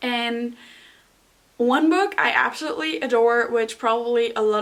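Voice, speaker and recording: Against noticeable background noise, a woman with a non-native accent speaks at a fairly high pitch. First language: not English. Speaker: booktuber. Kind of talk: casual book recommendation vlog. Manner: animated.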